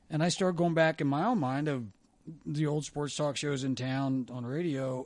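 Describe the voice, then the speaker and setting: In a quiet setting, a man with an American accent talks at a moderate pace, his fairly high pitch showing ordinary variation. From Ohio. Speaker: former sports radio host. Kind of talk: casual chat.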